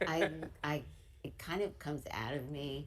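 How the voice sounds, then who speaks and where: A woman speaks in a New York accent with vocal fry. Audible room echo surrounds her voice. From US Northeast, Brooklyn, New York. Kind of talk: interview.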